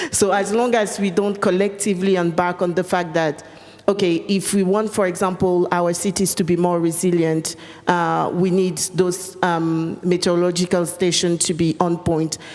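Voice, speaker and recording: The woman's pitch is fairly low, her intonation monotone and flat, her loudness very even. She keeps a moderate pace against noticeable background noise. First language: French. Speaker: panelist. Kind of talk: panel discussion. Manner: hesitant, many fillers.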